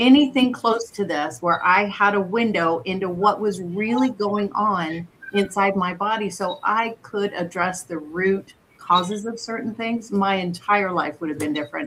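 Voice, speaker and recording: A woman speaks in an unremarkable speaking voice at medium pitch. Her pace is moderate, with ordinary pitch variation. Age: 60s. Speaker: wellness scan provider. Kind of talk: casual chat.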